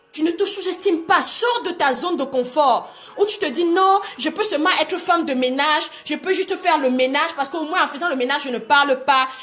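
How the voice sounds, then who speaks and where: Over noticeable background noise, a woman talks fairly quickly at an extremely high pitch, hardly pausing at all. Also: ordinary pitch variation. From Cameroon. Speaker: life coach. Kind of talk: live-streamed motivational talk. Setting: live video stream. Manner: animated.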